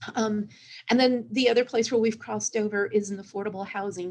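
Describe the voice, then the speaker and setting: A woman talks with an American accent. She has an unremarkable speaking voice. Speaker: cultural historian. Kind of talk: panel discussion.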